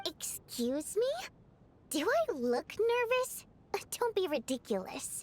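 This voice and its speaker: Putting on a character voice, a woman speaks at an extremely high pitch and a fairly slow pace, with very wide pitch swings and long, frequent pauses. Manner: defensive, flustered, nervous.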